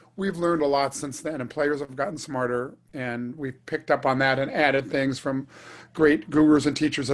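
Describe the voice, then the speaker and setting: A man in a normal speaking voice talks fairly quickly at a fairly high pitch. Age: 60s. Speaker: trumpet player. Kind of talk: casual chat.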